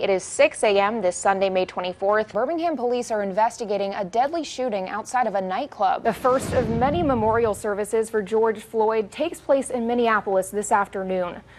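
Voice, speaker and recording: With an American accent and a fairly high pitch, a woman speaks fairly quickly with hardly any pauses and ordinary pitch variation over noticeable background noise. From Los Angeles, California. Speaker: TV news anchor and reporter. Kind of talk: broadcast news anchor and reporter reel.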